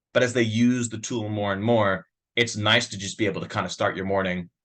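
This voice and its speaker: Over a quiet background, a man with a New York accent speaks in a fairly low pitch with a bright, sharp tone. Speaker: software sales demo presenter. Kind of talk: product demo webinar. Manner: fast; casual, filler-heavy.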